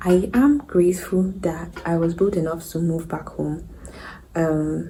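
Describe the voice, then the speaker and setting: Against noticeable background noise and audible room echo, a woman with a fairly low pitch speaks at a fairly slow pace with ordinary pitch variation. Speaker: vlogger. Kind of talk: casual vlog monologue. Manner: hesitant; whispering.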